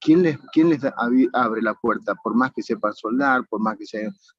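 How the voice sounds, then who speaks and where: A man speaks fairly quickly while music plays in the background. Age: 70s. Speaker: incarcerated student. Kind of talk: audience comment in online class. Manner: halting, with fillers.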